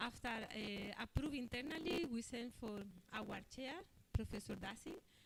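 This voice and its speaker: A woman with a fairly high pitch talks at a moderate pace, her pitch varying in an ordinary way. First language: not English. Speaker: scientific committee presenter. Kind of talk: conference presentation. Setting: conference hall. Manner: halting.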